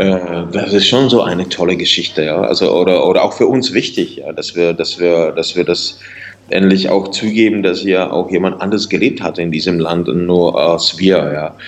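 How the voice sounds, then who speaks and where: A man is talking at a moderate pace. Background noise is noticeable. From Czech Republic, northeastern Bohemia. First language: Czech (speaking German). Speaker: singer and writer. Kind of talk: interview. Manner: halting, repeats words.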